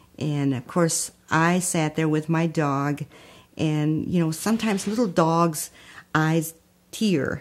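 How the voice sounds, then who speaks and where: A woman with a Spanish accent and a very deep, low pitch at a fairly slow pace, in a very clean recording with a silent background. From Texas, raised in Holland, Michigan. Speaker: community founder. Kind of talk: life story testimony.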